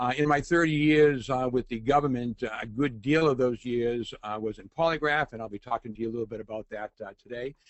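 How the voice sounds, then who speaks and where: A man with a Boston accent talks at a fairly quick pace and medium pitch, with ordinary pitch variation and hardly any pauses. His loudness swings a lot. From Boston, Massachusetts. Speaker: forensic consultant and adjunct professor, webinar host. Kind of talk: webinar presentation. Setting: online webinar. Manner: hesitant, many fillers.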